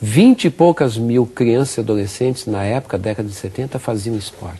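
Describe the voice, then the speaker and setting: With lively intonation, a man speaks in a somewhat breathy voice with a dark, mellow tone. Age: 60s. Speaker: physical education professor. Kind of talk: interview.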